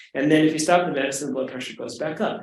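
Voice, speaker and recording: There is audible room echo around a man. He speaks at a fairly high pitch with ordinary pitch variation. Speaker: physician lecturer. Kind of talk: lecture. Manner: fast.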